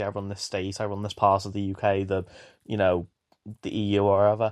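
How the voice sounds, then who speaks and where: In a quiet background, a man with a fairly low pitch speaks fairly quickly in a monotone, flat intonation. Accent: British. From UK. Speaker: viewer sending a voice message. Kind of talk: recorded voice message.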